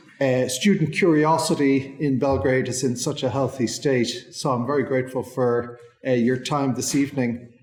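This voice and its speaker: A man speaks at a medium pitch and a moderate pace, with fairly even intonation. Audible room echo and noticeable background noise surround his voice. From southwest Ireland. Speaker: legal history lecturer. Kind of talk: lecture.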